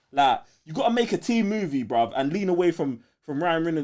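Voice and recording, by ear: A man speaks at a moderate pace with a fairly high pitch. His tone is slightly mellow and his intonation lively.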